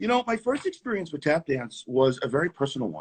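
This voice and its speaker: A man with a New York accent speaks, the sound dry and close with no echo. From New York City (Queens). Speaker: tap dancer. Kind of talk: casual interview. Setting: live video stream.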